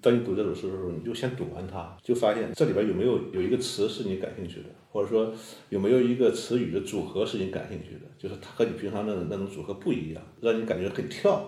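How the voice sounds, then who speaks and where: A man with a somewhat breathy, dark, mellow tone, fairly low pitch, a very fast pace, ordinary pitch variation and big swings in loudness, amid audible room echo. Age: young. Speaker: poet. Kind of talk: casual chat.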